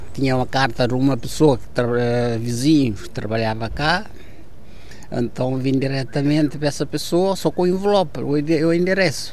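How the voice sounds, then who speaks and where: Audible room echo follows a man speaking at a medium pitch and a moderate pace with ordinary pitch variation. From Cape Verde, Santiago island. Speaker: crane operator. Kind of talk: interview testimony.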